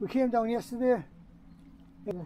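A man with a Teesside accent, an extremely high pitch, a dark, mellow tone and fairly even intonation. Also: moderate pace. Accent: Teesside, northern English.

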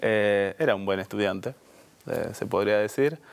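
A man talks at a moderate pace. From Buenos Aires, Argentina; Argentina. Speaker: HR director; guest. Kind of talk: interview conversation. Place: studio. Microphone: lapel.

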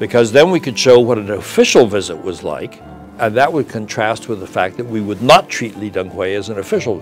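A man speaks with lively intonation. Faint music plays in the background. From China (Sichuan). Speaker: retired ambassador, diplomat. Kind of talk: interview answer. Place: studio.

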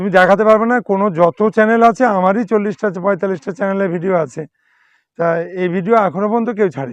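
A man with a high voice and ordinary pitch variation speaks in a dry, close sound with no echo over a quiet background. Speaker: plant nursery owner. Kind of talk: sales pitch. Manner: animated.

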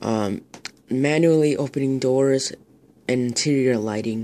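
A fairly slow pace carries fairly even intonation. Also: man. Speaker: hobbyist reviewer. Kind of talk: casual product review, reading features. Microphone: phone near.

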